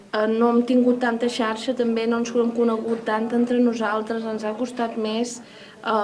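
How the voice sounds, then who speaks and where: Over noticeable background noise, a woman speaks fairly slowly with hardly any pauses. Her fairly high voice has a monotone, flat intonation. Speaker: poetry anthologist. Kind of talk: interview answer.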